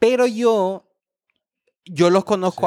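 A man speaks with a Honduran accent. The recording is very clean with a silent background and a dry, close sound with no echo. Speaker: podcast host. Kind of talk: casual chat.

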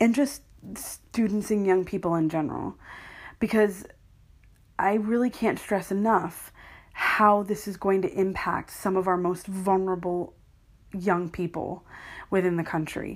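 A woman with an American accent at a medium pitch, fairly slow and fairly even, with long, frequent pauses, in a very clean recording with a silent background. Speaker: podcaster. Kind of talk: casual solo podcast monologue. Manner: casual, self-deprecating, chatty.

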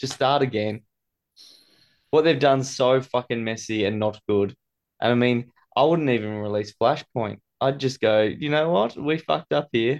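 Recorded with a dry, close sound and no echo, a man with an Australian accent speaks at a medium pitch and takes long, frequent pauses. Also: ordinary pitch variation, moderate pace, quiet background. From Tasmania, Launceston. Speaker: podcast guest. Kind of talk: casual chat.

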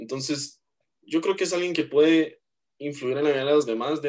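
A man speaks with a Guatemalan accent. His pitch is fairly high, with ordinary variation. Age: 20s. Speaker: university student and church worship drummer. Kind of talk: interview.

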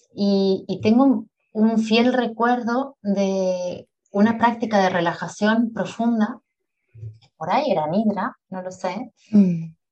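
A woman speaks at a very slow pace with a medium pitch and ordinary pitch variation. Her voice is somewhat breathy, with big swings in loudness. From Uruguay, Montevideo. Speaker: yoga nidra teacher and sleep coach. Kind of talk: interview conversation.

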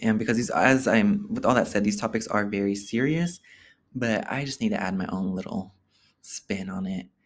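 A man's animated voice at a medium pitch and moderate pace, with ordinary pitch variation. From Oakland, California (Bay Area). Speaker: podcast host. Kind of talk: casual solo monologue.

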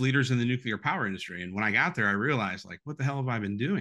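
In a Midwestern American accent, a man talks with a bright, sharp tone, medium pitch and ordinary pitch variation over a quiet background. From Toledo, Ohio. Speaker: former congressional candidate. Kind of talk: political interview. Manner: halting, repeats words.

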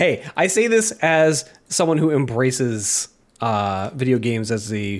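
A man with an unremarkable speaking voice talks at a medium pitch with lively intonation. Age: 30s. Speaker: podcast host. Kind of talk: casual chat. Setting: remote recording over the internet.

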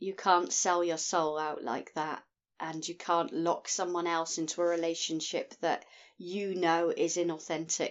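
In monotone, flat intonation, a woman with a fairly low pitch speaks at a fairly slow pace. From Scotland. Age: 50s. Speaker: podcast guest. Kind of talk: casual chat.

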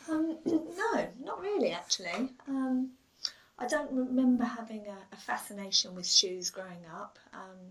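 The speaker moves at a fairly slow pace with very wide pitch swings and big swings in loudness. Noticeable background noise is present. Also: woman, high pitch for a woman. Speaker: shoe designer. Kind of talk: casual interview.

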